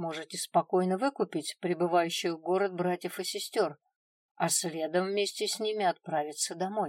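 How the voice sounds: Against a quiet background, the speaker reads in a natural reading voice.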